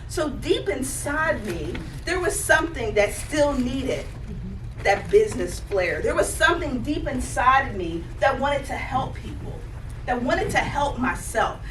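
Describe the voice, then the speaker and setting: In a Southern US accent, a woman speaks with an animated tone at a moderate pace, with noticeable background noise and audible room echo. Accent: Southern US (Georgia). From Georgia, US South. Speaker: life coach, conference speaker. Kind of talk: motivational talk.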